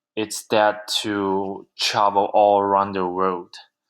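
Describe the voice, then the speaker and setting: The speaker talks at a very slow pace with a Chinese accent. The recording is very clean, with a silent background. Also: man. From southern China. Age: 20s. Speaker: university student. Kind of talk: class presentation. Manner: halting, many fillers.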